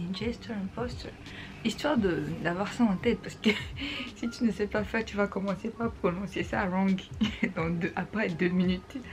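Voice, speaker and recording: Over noticeable background noise, a woman with a medium pitch and ordinary pitch variation talks at a moderate pace with long, frequent pauses. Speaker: vlogger. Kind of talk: tutorial. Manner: casual, mixing French and English.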